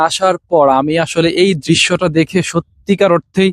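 Here a man is heard with a dry, close sound and no echo. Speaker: vlogger. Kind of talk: vlog walking tour. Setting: outdoors in a mustard field.

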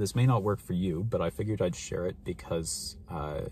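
A man with a very deep, low pitch and vocal fry speaks at a fairly quick pace, his dark, mellow tone and lively intonation set in a dry sound with no echo over light background noise. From Canada, Ontario. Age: 20s. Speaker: mental health vlogger. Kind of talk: casual vlog monologue. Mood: calm, reflective. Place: car. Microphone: phone near.

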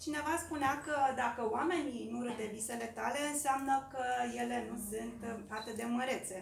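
A woman with a high voice talks at a moderate pace, using ordinary pitch variation. Noticeable noise sits in the background. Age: 40s. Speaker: local election candidate, teacher; election candidate, teacher. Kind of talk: campaign speech. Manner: formal. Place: meeting room. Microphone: podium.

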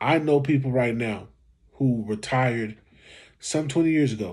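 A somewhat breathy man with ordinary pitch variation. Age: 40s. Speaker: YouTube commentator. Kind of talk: reaction video commentary. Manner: casual, conversational. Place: home room. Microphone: phone near.

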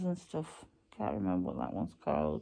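Only a quiet background sits behind this woman's voice. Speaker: vlogger. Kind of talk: casual vlog chat. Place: home room. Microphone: phone near.

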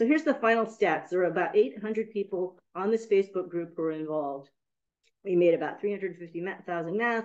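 Against a quiet background, a woman with an American accent talks at a moderate pace with lively intonation. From US West Coast, San Francisco; California. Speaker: university professor and documentary filmmaker; university professor. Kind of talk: academic lecture. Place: meeting room. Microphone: video call.

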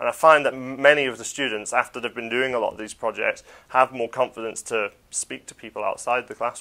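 There is a quiet background. Over it, a man talks at a fairly quick pace. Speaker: computing teacher. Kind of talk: interview. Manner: casual, many fillers. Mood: relaxed, friendly. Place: classroom. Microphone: lapel.

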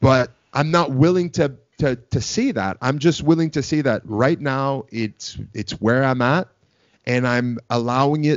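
A man at a fairly slow pace with ordinary pitch variation over a quiet background. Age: 30s. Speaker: pro wrestler and podcast host; podcast host. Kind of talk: casual chat. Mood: reflective, earnest. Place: home room. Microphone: studio mic.

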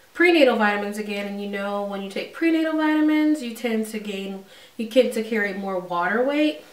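In a room with audible echo and noticeable background noise, a woman talks at a moderate pace in a fairly high voice with ordinary pitch variation. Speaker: vlogger. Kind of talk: casual vlog update. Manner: hesitant, many fillers.

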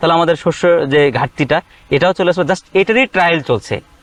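The man's high-pitched voice sounds dry and close, with no echo. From Bangladesh, Bogura. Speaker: farmer and entrepreneur. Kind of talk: interview.

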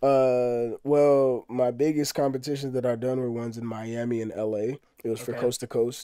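Against a quiet background, a man with an American accent speaks at a medium pitch and moderate pace. His tone is dark and mellow, the intonation monotone and flat, in a dry sound with no echo. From Texas. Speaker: rapper; interview guest. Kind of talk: casual interview. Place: home room. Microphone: studio mic.

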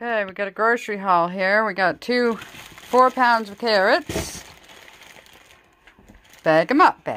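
A woman's fairly bright, medium-pitched voice with lively intonation, a slow pace and long, frequent pauses.

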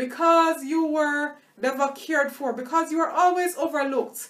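Here the speaker is a woman. The rise and fall of her pitch is ordinary. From Tanzania (Dar es Salaam). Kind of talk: sermon-style teaching monologue; sermon-style vlog teaching. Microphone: webcam.

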